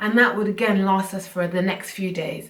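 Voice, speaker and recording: Audible room echo and noticeable background noise surround a woman speaking at medium pitch. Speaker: personal finance YouTuber. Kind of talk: casual vlog talk to camera. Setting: at home, filming to camera.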